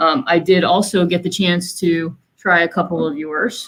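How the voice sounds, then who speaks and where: Her voice is fairly low for a woman. She speaks fairly slowly with fairly even intonation. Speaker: company executive moderating panel. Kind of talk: virtual panel discussion. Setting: video call.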